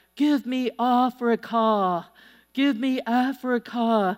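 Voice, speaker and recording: A put-on character voice shouts at a very slow pace and a fairly high pitch, in a very clean recording with a silent background. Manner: screaming.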